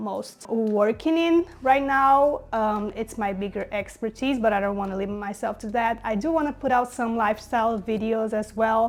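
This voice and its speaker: A woman's fairly high voice with a non-native accent, at a moderate pace with ordinary pitch variation. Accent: non-native English, noticeable. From Brazil. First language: Portuguese. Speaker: graphic designer, content creator. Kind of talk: casual vlog tutorial. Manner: hesitant, filler-heavy.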